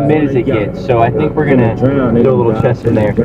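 A man at a moderate pace, with clear music in the background and a dry sound with no echo. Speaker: vlogger. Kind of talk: casual vlog chat. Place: car. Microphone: lapel.

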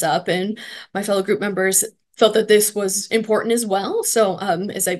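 A woman's voice at a moderate pace, fairly even intonation, quiet background. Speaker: presenter. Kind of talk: presentation. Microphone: webcam.

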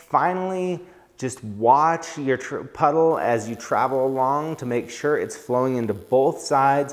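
The man talks at a fairly slow pace. Pitch shifts are ordinary. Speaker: welding instructor. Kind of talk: tutorial. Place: workshop. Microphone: lapel.

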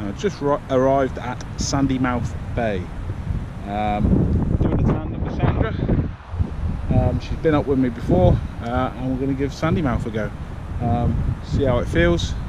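A man speaks at a moderate pace in a dry space with no echo. Loud background noise runs behind him. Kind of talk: casual vlog chat. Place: open country. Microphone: phone near.

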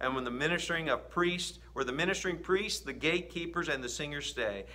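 Male speech, pitch varying in a usual way. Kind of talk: scripture reading. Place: home room. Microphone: phone near.

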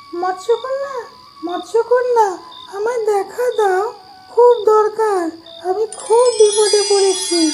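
An extremely high, cartoonish character voice speaks at a fairly slow pace over clear background noise.

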